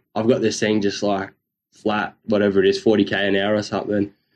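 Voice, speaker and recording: This man talks in an Australian accent. He keeps to a moderate pace. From North Queensland, Australia. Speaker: surf podcast host. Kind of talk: casual chat.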